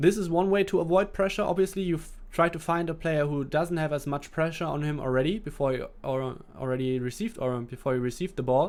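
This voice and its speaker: Someone with a German accent talks at a very fast pace. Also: man, fairly high pitch for a man, ordinary pitch variation. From Germany. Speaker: esports gaming coach. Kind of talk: live gameplay commentary with chat Q&A. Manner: hesitant, with restarts and fillers.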